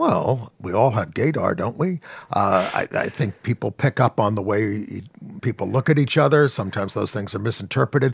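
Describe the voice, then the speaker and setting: Lively intonation marks this man's speech. There is a somewhat breathy quality to it. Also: medium pitch for a man, dry, close sound with no echo. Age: 60s. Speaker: journalist and activist. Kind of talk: interview.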